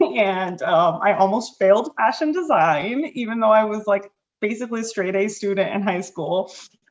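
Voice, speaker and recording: A plain, everyday voice talks at a moderate pace. The intonation is lively. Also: woman, medium pitch for a woman. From Connecticut, Hartford area (born in Puerto Rico). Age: 30s. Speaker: life and business coach. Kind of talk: podcast interview. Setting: podcast.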